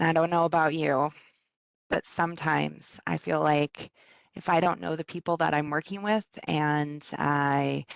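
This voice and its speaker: Over a quiet background, the speech moves at a moderate pace with ordinary pitch variation and a dry, close sound free of echo. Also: woman, very deep, low pitch for a woman. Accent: slight Minnesota. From US Midwest, Minnesota (ages three to eight). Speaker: workplace well-being facilitator, presenter. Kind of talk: online presentation. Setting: video call from home. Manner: hesitant, many fillers.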